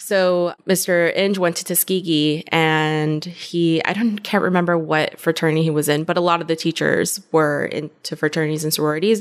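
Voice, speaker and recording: Using a plain, everyday voice, a woman speaks at a moderate pace with fairly even intonation and hardly any pauses. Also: fairly low pitch for a woman. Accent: American. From Compton, Los Angeles, California. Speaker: marketing director. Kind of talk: casual interview.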